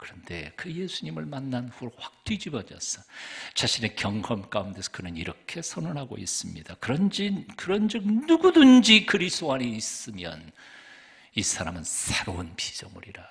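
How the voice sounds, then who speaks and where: A man in a medium pitch speaks at a moderate pace, with very wide pitch swings and big swings in loudness. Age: 60s. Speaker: pastor. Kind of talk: sermon. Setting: church.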